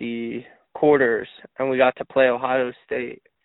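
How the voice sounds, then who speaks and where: Using an unremarkable speaking voice, a man with an American accent talks at a fairly slow pace with fairly even intonation. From Pennsylvania, Harrisburg. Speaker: ultimate frisbee player. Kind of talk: podcast interview.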